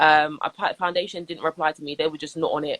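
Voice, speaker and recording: A woman with a London accent, a very deep, low pitch and a bright, sharp tone, talking at a fairly quick pace in a dry, close sound with no echo. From Southwest London. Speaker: radio presenter and DJ. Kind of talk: interview. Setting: Instagram live video call. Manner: animated.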